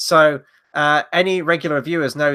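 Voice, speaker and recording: Recorded very cleanly against a silent background, a man with a British accent speaks in a fairly high pitch with a bright, sharp tone. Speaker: film review show co-host. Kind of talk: casual chat.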